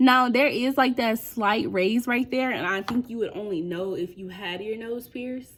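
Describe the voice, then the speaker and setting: A woman with an ordinary speaking voice uses lively intonation and keeps a moderate pace. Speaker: beauty vlogger. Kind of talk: casual vlog tutorial.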